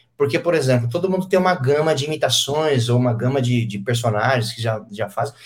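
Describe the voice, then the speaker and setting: Somewhat breathy, a man talks at a very fast pace with medium pitch and lively intonation. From São Paulo interior, Brazil (Penápolis). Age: 30s. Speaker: radio host and comedian. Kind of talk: casual interview.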